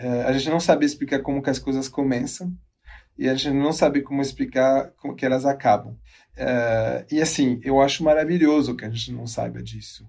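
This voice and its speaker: Moderate pacing from a male speaker, fairly high in pitch, with fairly even intonation. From abroad, not Brazil. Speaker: geneticist and research director. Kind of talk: interview. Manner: halting.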